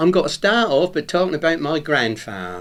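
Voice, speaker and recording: In a Norwich accent, a man speaks at a moderate pace with very wide pitch swings. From England, Norwich. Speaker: retired painter, local dialect speaker. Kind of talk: recorded talk. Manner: informal, conversational.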